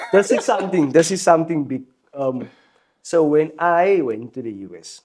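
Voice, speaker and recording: A man with a fairly high pitch, lively intonation, a moderate pace and big swings in loudness. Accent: South African. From South Africa, Helenvale, Port Elizabeth area. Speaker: musician. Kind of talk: casual chat. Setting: studio.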